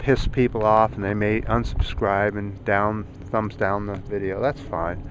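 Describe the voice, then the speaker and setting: Noticeable background noise accompanies a man speaking at a fairly low pitch and a moderate pace. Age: 60s. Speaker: YouTuber. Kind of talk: vlog commentary. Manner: halting, with frequent fillers.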